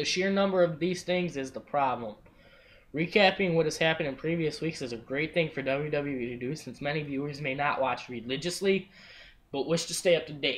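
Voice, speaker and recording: Speaking at a fairly quick pace, a man has a fairly high pitch with ordinary variation. The recording is very clean, with a silent background. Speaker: wrestling podcast host. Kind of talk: casual chat. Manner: fast.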